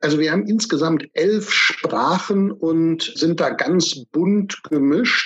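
Speaking at a very slow pace with hardly any pauses, a man uses a high pitch, lively intonation, and very even loudness. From Germany. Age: 40s. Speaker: financial advisor. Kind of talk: interview.

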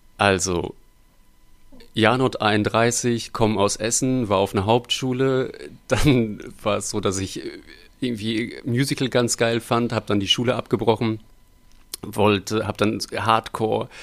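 The speech moves at a fairly slow pace with long, frequent pauses. Its intonation stays fairly even. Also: man. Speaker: puppeteer and musician. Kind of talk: casual interview chat.

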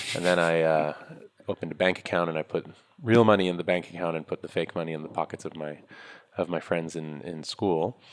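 A man with a New York accent, very deep and low in pitch, speaking at a very fast pace with fairly even intonation. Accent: New York American. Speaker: startup founder and investor. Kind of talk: interview.

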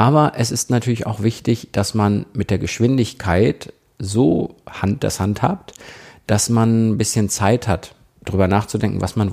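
An ordinary speaking voice from a fairly low-pitched man at a fairly slow pace, with ordinary pitch variation, in a very clean recording with a silent background. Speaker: podcast host and radio presenter. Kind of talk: solo podcast tips talk.

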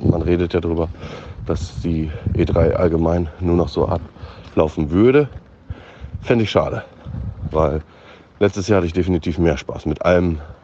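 Long, frequent pauses mark a man's speech at a very deep, low pitch. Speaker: gaming commentator. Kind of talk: voice message. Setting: outdoors, walking to bakery.

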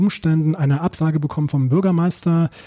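A man talks in a normal speaking voice, fairly high in pitch. His pace is moderate and his pitch varies in an ordinary way. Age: 40s. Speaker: teacher and book author. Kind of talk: interview.

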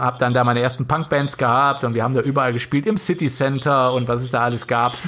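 A man's medium-pitched, normal speaking voice with fairly even intonation. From western Germany, Lower Rhine area near Korschenbroich. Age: 40s. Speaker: doctor. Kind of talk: casual chat. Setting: home studio, remote.

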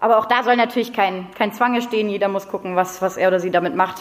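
A woman talks with hardly any pauses, her pitch in the middle range and her intonation fairly even. It is an unremarkable speaking voice. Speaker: climate activist and teacher-training student. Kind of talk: lecture.

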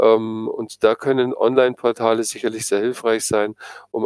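A man, in a dry, close sound with no echo. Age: 60s. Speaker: psychotherapist. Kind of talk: interview.

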